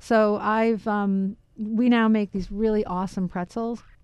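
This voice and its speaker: Here a woman speaks in an American accent with a dark, mellow tone. Her intonation is monotone and flat against a quiet background. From Queens, New York. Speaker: baker. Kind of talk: casual chat. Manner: halting.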